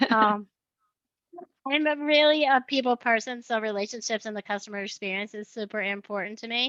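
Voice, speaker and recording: In a New York accent, a woman talks at a fairly quick pace with fairly high pitch and ordinary pitch variation, the sound dry and close with no echo over a quiet background. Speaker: sales manager. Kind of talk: webinar self-introduction.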